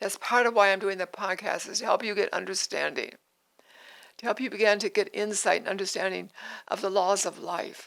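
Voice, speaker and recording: A woman speaks at a medium pitch with vocal fry. Her delivery is monotone and flat, at a moderate pace. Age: 80s+. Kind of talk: devotional podcast talk. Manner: halting.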